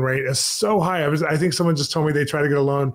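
Words come very fast from a man. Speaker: interview host. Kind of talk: interview question. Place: home room.

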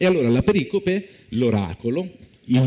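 Against a quiet background, a man speaks at a moderate pace. His pitch swings very widely. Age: young. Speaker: biblical studies professor; speaker. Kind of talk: lecture. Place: stage. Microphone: lapel.

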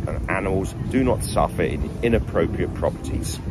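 Loud background noise fills the recording as a man speaks. The sound itself is dry, with no echo. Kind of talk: informational talk to landlords. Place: garden. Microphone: phone near.

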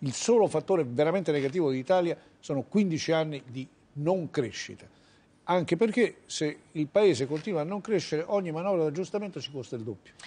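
This man has a fairly high pitch and a dark, mellow tone. He talks at a fairly quick pace with lively intonation. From Italy. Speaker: economist; guest. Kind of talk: televised political debate. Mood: calm, measured analysis. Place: studio. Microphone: lapel.

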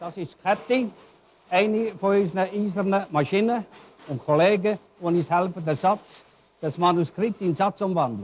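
Long, frequent pauses break up speech with ordinary pitch variation, over light background noise. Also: man, high pitch for a man. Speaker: regional newspaper editor. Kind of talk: 1965 documentary film narration, explaining the print shop. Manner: plain, homely, unhurried, folksy. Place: workshop. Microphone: old recording.

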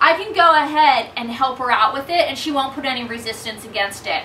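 A woman's raised, projected voice at a fairly quick pace, with ordinary pitch variation and light background noise. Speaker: dog trainer. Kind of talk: tutorial. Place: home room. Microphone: camera far.

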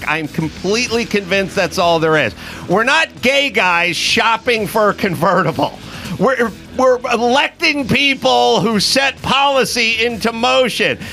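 Faint music plays behind a man with a high pitch whose raised, projected voice carries an animated tone at very even loudness and a fairly slow pace. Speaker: comedian and podcast host; comedian, podcast host. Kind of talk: comedic rant. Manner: profane, animated. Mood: mocking, irritated. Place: studio. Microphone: studio mic.

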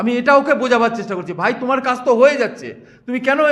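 A man speaks loudly. His pitch is extremely high. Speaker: councillor's representative. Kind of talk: defensive interview.

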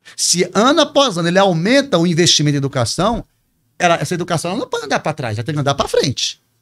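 Very fast talking from a man with a high-pitched voice and very wide pitch swings. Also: quiet background. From Espírito Santo, then Pará, Brazil; Brazil. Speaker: teacher and politician; teacher, politician. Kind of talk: interview answer. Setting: studio. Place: studio. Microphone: studio mic.

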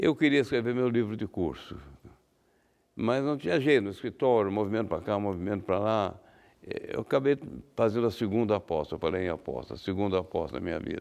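Very fast man's voice, fairly low in pitch, with lively intonation and long, frequent pauses. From Brazil, São Paulo state (Guaratinguetá); São Paulo state, Brazil. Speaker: law professor and lawyer; law professor, lawyer. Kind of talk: interview. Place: studio. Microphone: lapel.

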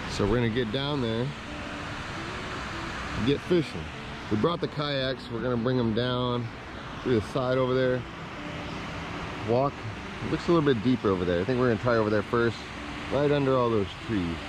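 Spoken at a fairly quick pace, the voice sounds dry with no echo over noticeable background noise. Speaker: fishing vlogger. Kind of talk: casual vlog chat. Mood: enthusiastic. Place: waterside. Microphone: phone near.

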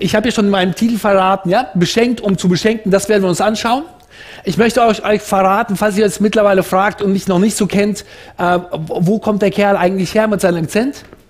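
A man with a high pitch at a fairly quick pace, quiet background. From Central Asia. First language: Russian (speaking German). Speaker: preacher. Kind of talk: sermon. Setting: church service. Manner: passionate, animated. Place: hall. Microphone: headset.

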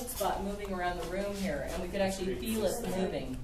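Loud noise surrounds a woman who speaks fairly quickly. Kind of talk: casual commentary. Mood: curious, excited. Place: garage.

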